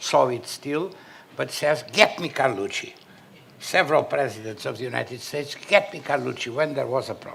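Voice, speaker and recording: A man talks at a moderate pace. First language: Portuguese. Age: 70s. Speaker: panelist, son of a former national leader. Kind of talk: panel discussion. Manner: halting.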